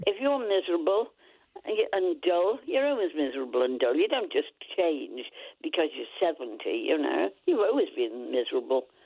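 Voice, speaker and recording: A woman with a Lancashire accent at a moderate pace. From Lancashire, northern England. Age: 90s. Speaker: caller. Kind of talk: casual chat. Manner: animated.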